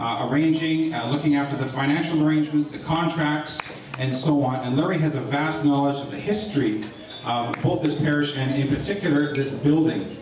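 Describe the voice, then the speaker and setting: A man talks at a fairly quick pace with fairly even intonation, amid audible room echo and noticeable background noise. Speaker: speaker. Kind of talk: acknowledgement speech. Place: hall.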